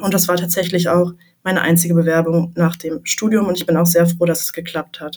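Somewhat breathy, a woman talks at a fairly quick pace with monotone, flat intonation. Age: 20s. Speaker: management consultant. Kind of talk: interview.

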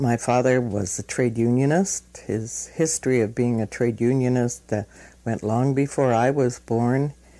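A woman speaks at an extremely low pitch with a dark, mellow tone. Her pace is fairly slow, and her pitch varies in an ordinary way.

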